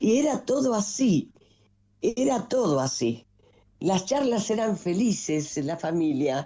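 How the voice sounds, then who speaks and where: A woman speaks very slowly at a medium pitch, her dark, mellow voice showing vocal fry. Her pitch swings very widely, and the background is quiet. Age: 80s+. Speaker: nationalist political figure. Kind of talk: interview. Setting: video call.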